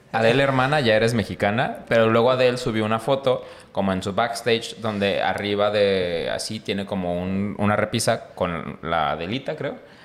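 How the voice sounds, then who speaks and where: A medium-pitched male voice at a moderate pace, with ordinary pitch variation, hardly any pauses and noticeable background noise. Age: 30s. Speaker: podcast host. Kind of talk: casual chat.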